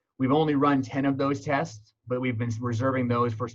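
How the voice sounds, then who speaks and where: Here a man talks fairly quickly at a medium pitch. His intonation is monotone and flat. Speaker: EMS medical director. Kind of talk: presentation. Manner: fast.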